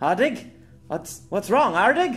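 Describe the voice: A man's put-on character voice, fairly bright in tone with big pitch swings, at a fairly slow pace over faint music in the background.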